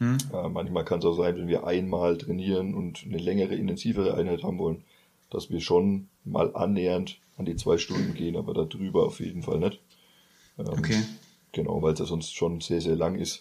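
His pitch is very deep and low, and the man speaks at a moderate pace in a dark, mellow tone with ordinary pitch variation. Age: 20s. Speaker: football coach. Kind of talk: casual interview.

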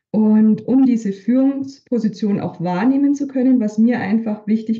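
A woman's voice comes across somewhat breathy, its tone dark and mellow. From Bavaria, Upper Franconia (Hof). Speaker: leadership coach and manager. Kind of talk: interview conversation.

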